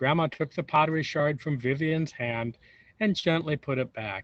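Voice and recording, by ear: At a moderate pace, a man with a fairly high voice and ordinary pitch variation speaks in a dry, close sound with no echo.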